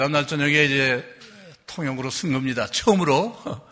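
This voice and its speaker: A man speaks at a moderate pace with audible room echo around him. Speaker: retired bishop. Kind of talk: sermon. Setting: church.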